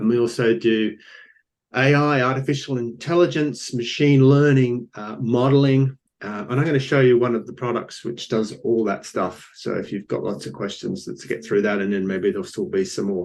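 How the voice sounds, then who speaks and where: A man speaks with an Australian accent at a medium pitch. His pace is moderate and his intonation lively. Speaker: company founder. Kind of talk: business pitch presentation. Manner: hesitant, many fillers.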